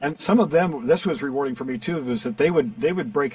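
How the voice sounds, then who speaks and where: Very fast speech from a man with very wide pitch swings, music playing in the background. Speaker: voiceover actor and coach. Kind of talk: interview answer.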